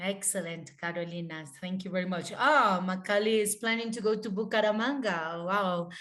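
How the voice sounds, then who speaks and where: A woman with a Spanish accent and medium pitch speaks at a moderate pace with hardly any pauses. Her pitch varies in an ordinary way, and there is audible room echo. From Colombia, Bogota. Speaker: webinar moderator. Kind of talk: webinar moderation.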